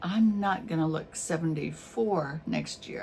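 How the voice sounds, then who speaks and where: A woman's relaxed tone amid audible room echo and noticeable background noise. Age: 70s. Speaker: YouTuber and artist. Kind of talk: casual vlog monologue. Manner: relaxed, hesitant with fillers.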